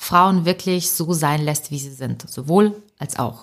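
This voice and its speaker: A woman with a plain, everyday voice speaks at a fairly slow pace, her fairly low pitch carried by lively intonation. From Ukraine, raised in Germany from age eight. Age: 30s. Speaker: author and comedian. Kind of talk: podcast interview. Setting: remote recording.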